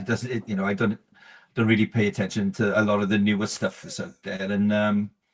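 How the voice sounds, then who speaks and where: A man with a South Wales accent, fairly low in pitch, at a fairly quick pace with fairly even intonation. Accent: South Wales Valleys. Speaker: musician. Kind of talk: interview answer.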